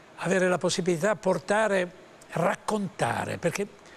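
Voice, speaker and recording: Noticeable background noise runs under this recording. A man with a high pitch speaks at a moderate pace. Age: 80s+. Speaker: actor and voice actor. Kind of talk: interview answer.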